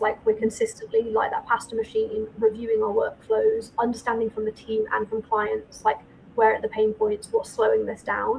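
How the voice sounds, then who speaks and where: A woman with a northern English accent speaks at a moderate pace over noticeable background noise. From northern England. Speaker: accountant and firm owner. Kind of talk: podcast interview.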